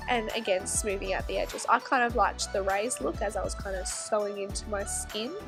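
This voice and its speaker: A woman speaking at a fairly quick pace over background music. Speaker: SFX makeup artist. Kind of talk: makeup tutorial voiceover.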